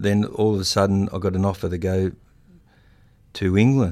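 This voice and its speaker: Very deep, low male voice with a rural Australian accent, dark and mellow in tone, fairly even in intonation, on a very clean recording with a silent background. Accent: broad rural Australian. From rural New South Wales, Australia. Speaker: retired rugby league player and coach. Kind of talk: interview. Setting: studio. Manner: halting, many fillers.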